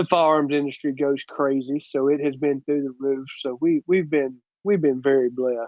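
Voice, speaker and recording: Speaking with a Southern US accent, a man with a fairly high pitch keeps his intonation fairly even. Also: moderate pace. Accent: Southern US (Georgia). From US South, Georgia (south of Atlanta). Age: 30s. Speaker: plumber and sport shooter. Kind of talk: casual interview.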